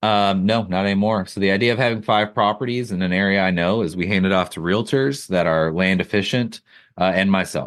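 In a plain, everyday voice, a man with an American accent talks at a fairly quick pace, his pitch fairly low and his intonation fairly even, against a quiet background. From rural Wisconsin. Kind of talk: interview.

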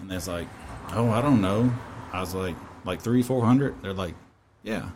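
Talking at a fairly quick pace, a man speaks with a Kentucky accent. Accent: Kentucky Southern. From Kentucky, near Bowling Green. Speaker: barbecue cook and healthcare worker. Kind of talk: casual chat.

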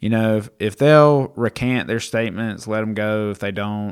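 An ordinary speaking voice from a man with an American accent, fairly low pitch, ordinary pitch variation and a fairly slow pace. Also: very clean recording, silent background. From US South. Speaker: podcast producer. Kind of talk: casual Bible discussion. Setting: studio.

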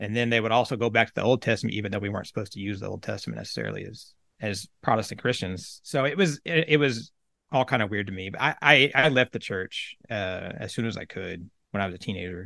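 At a fairly quick pace, a man talks with a medium pitch, ordinary pitch variation and a bright, sharp tone. His loudness swings widely against a quiet background. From central Oklahoma, US. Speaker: army veteran and spiritual guide. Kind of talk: interview.

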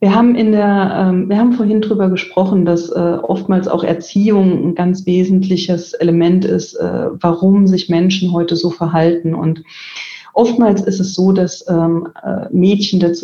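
With a plain, everyday voice, a woman speaks at a fairly slow pace in a medium pitch, her intonation fairly even and her loudness very even. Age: 40s. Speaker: IT executive. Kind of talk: interview. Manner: frequent filler sounds.

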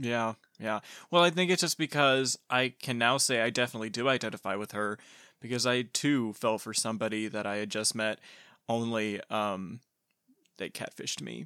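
This man speaks at a moderate pace and medium pitch, with a bright, sharp, sad tone and ordinary pitch variation, on a very clean recording with a silent background and a dry, close sound with no echo. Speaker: podcast host. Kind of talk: casual chat. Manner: droll, sad-sounding tone.

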